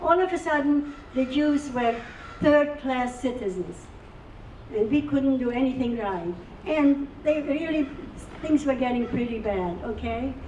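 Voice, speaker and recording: With audible room echo and noticeable background noise, a woman speaks fairly slowly in a high voice, with ordinary pitch variation and long, frequent pauses. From Czechoslovakia (now Ukraine), Carpathian village. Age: 80s+. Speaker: Holocaust survivor speaker. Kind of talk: testimony.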